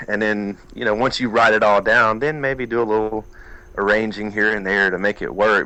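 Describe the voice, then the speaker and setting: With an Alabama accent, this man's fairly low voice moves at a fairly quick pace over fairly even intonation. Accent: Southern US (Alabama). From US South, southeast Alabama. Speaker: country music singer-songwriter. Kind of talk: interview.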